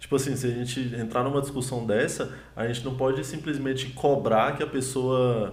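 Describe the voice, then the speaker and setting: Audible room echo surrounds a somewhat breathy voice moving at a fairly quick pace. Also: man. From Brazil, Ceilândia (Federal District). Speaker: comedian. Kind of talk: casual chat. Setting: livestream.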